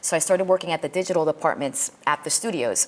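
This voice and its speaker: A woman talks with a New York accent. Her pitch is fairly low, with ordinary variation. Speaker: film industry teacher. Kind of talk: lecture. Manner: halting, many repetitions and fillers.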